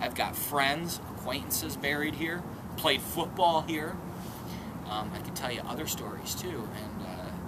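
Someone speaks at a moderate pace over loud background noise. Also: man, ordinary pitch variation. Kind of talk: casual vlog chat. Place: open country.

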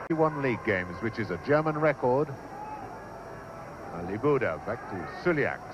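A man's fairly high voice, excited, with very wide pitch swings, a fairly slow pace and noticeable background noise. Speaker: match commentator. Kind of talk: vintage live football match commentary. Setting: archive broadcast recording of a 1966 match. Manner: excited, rising to a shout at goals.

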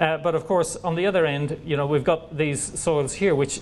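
Light background noise runs beneath a man who speaks fairly quickly, his pitch varying in an ordinary way. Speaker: presenter. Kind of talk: lecture. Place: hall.

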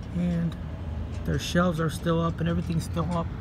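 A man talks at a moderate pace in a dry sound with no echo, with noticeable background noise behind him. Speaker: explorer vlogger. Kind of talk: casual vlog commentary. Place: street. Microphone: phone near.

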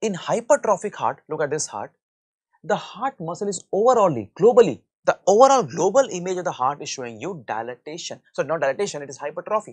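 Very fast and full of wide pitch swings, a man's voice also rises and falls sharply in loudness. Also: quiet background. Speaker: medical lecturer. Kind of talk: lecture.

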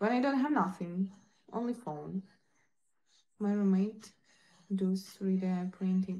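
A woman's dark, mellow, somewhat breathy voice at a very slow pace, with long, frequent pauses and very even loudness. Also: ordinary pitch variation. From Ukraine. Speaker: live streamer. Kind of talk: casual live-stream chat with viewers. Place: home room. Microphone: phone near.

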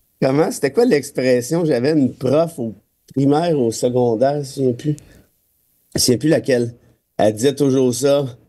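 A man's dark, mellow voice with fairly even intonation and long, frequent pauses. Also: moderate pace. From Quebec. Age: 40s. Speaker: lawyer and political commentator; lawyer, political commentator. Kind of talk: casual radio chat. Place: studio.

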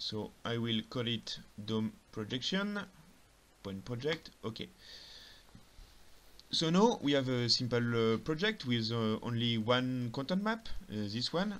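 A man with a non-native accent, medium pitch and lively intonation, very slow, with long, frequent pauses. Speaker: software tutorial narrator. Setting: lower-quality home recording. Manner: calm, step-by-step explanatory.

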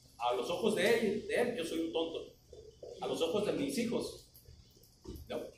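With a Mexican accent, a man talks at a fairly slow pace with long, frequent pauses, amid audible room echo and light background noise. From Mexico. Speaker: flagger safety instructor. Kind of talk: training class. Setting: classroom with trainees. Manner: conversational, asks the class questions. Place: classroom. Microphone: camera far.

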